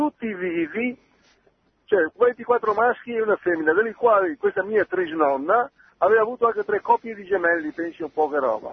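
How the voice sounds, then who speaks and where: Here a man talks in a high pitch with lively intonation. His pace is moderate. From Veneto, Italy. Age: 80s+. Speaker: caller. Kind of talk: phone-in testimony. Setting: phone call.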